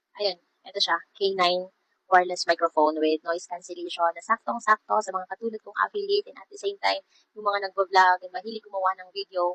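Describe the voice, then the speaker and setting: A woman talks at a very fast pace and medium pitch, with fairly even intonation and big swings in loudness. The sound is dry and close, with no echo. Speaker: vlogger reviewing a product. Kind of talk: product review vlog.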